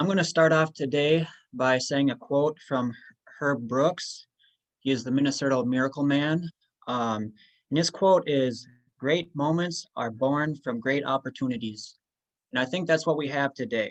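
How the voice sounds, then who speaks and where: A man in a normal speaking voice talks at a moderate pace, fairly high in pitch, with ordinary pitch variation. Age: 20s. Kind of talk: personal testimony.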